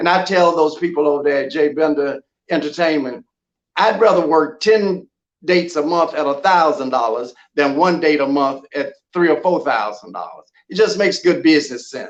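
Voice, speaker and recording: With an American accent, a man uses a normal speaking voice, fairly high in pitch, with ordinary pitch variation at a moderate pace. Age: 60s. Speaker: gospel artist. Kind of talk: casual chat.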